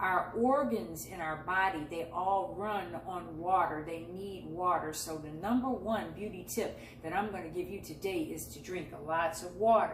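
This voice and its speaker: Amid noticeable background noise and audible room echo, a woman speaks at a medium pitch and a moderate pace with ordinary pitch variation. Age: 60s. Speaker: lifestyle and beauty vlogger. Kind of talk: casual vlog tutorial while juicing. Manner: conversational.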